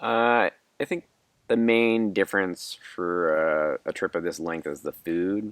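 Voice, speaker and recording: The speaker has a plain, everyday voice. The pace is fairly slow, and the intonation is lively. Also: man, fairly low pitch for a man. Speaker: backpacker. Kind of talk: interview answer.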